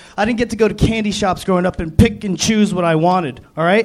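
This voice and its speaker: A man with an American accent speaks with fairly even intonation. Noticeable background noise runs behind him. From Florida Keys. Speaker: stand-up comedian. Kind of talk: stand-up.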